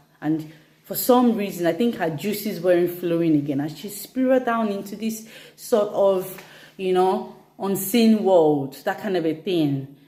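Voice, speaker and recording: A woman's medium-pitched, fairly slow speech with ordinary pitch variation and audible room echo. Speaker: fitness instructor. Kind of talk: instagram live talk.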